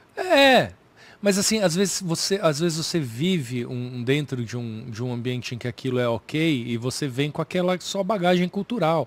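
At a moderate pace, a man with a fairly high voice talks with lively intonation, the sound dry with no echo. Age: 40s. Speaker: comedian. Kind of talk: casual chat. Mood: thoughtful, relaxed. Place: studio. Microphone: studio mic.

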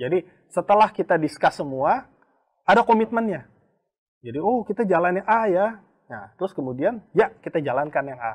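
A man's high-pitched voice at a moderate pace, with very wide pitch swings and big swings in loudness, against a quiet background. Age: 40s. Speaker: company executive and mentor. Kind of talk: casual online talk show. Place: studio. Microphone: lapel.

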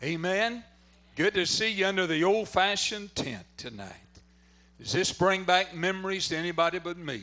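A high-pitched man with a Southern US accent, a bright, sharp, enthusiastic tone, ordinary pitch variation and a moderate pace. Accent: Southern American. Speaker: preacher. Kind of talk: revival sermon and prayer. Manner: fervent, enthusiastic. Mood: warm, fervent. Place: tent. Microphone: handheld.

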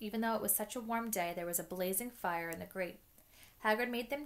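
The pitch moves in an ordinary way. The reading voice sounds unforced.

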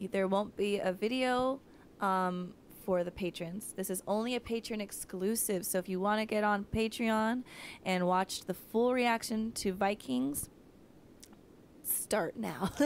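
A woman speaks at a fairly slow pace with ordinary pitch variation, the sound dry with no echo and light background noise behind her. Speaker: reaction video co-host. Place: home room. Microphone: handheld.

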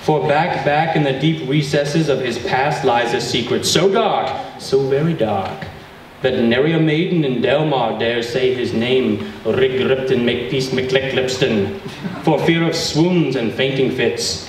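Light background noise and audible room echo around a man speaking at a fairly slow pace. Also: ordinary pitch variation. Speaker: event host giving an introduction. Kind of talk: humorous prepared reading. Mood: playful, mock-dramatic. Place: hall. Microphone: camera far.

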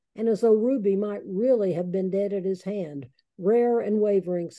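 Someone reading aloud in a natural voice, with a quiet background

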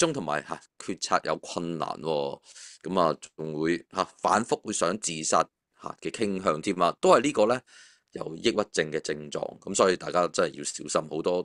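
A man at a moderate pace, dry with no echo, against a quiet background. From Hong Kong. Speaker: finance author. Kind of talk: casual chat. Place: home room. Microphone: video call.

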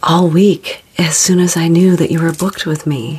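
A soft-spoken woman's fairly low voice at a fairly slow pace. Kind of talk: soft role-play talk to the viewer. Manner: soft, hushed ASMR greeting. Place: studio.

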